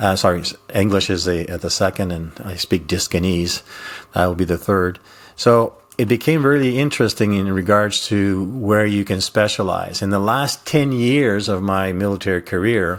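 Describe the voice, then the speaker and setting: A man with a fairly low pitch and ordinary pitch variation talks at a moderate pace, captured in a very clean recording with a silent background. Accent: Quebec. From Quebec / French Canada. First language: French. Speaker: retired intelligence officer, communication coach. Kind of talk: interview conversation. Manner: hesitant with many fillers.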